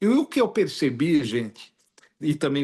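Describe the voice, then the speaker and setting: Against a quiet background, a man with a Brazilian accent talks at a moderate pace. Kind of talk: interview.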